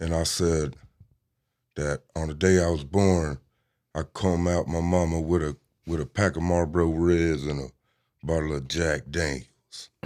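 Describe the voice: A man speaks at a fairly slow pace with an extremely low pitch, a slightly mellow tone and fairly even intonation. Long, frequent pauses break up his speech on a very clean recording with a silent background.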